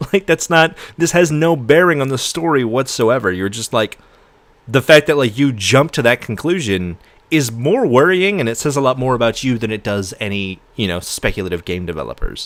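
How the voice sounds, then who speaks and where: At a moderate pace, a man talks in an animated tone with very wide pitch swings. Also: medium pitch for a man. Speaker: streamer reacting to a video. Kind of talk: live stream reaction commentary. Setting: live stream.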